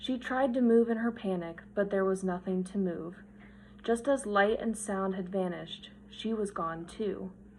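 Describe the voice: Ordinary pitch variation accompanies this plain reading aloud of the text.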